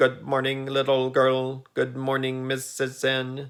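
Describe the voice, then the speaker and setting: Putting on a character voice, a man speaks creaky and hoarse at a fairly slow pace, with medium pitch and a monotone, flat intonation. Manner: flat monotone, expressionless.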